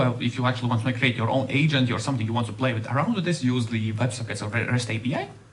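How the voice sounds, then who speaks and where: A man speaks at a very fast pace. Audible room echo and noticeable background noise accompany him. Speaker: software developer. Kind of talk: conference talk.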